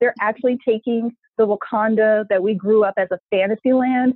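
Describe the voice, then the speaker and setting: With an ordinary speaking voice, a woman talks at a moderate pace in a fairly high pitch. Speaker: nonprofit founder. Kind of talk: interview conversation.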